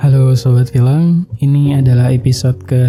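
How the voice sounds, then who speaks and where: Music plays in the background. The speech moves at a fairly slow pace with ordinary pitch variation. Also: man. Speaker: voice-over narrator. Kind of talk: film recap narration.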